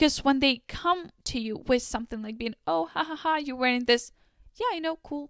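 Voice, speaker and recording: Her voice high-pitched and animated, a woman speaks at a moderate pace with lively intonation in a dry, close sound with no echo. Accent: non-native. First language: not English. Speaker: lifestyle YouTuber. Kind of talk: casual advice monologue.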